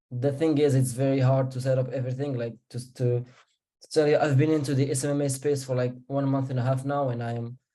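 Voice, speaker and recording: A man with a non-native accent speaks at a fairly quick pace in a dark, mellow tone, his medium-pitched voice flat and monotone. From Morocco. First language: not English. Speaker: marketing agency beginner. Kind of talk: Q&A call. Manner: halting.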